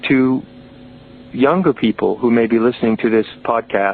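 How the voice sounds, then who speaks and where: A man speaks at a moderate pace with a medium pitch. He has an unremarkable speaking voice. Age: 60s. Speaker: author and mystical teacher. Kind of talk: podcast interview.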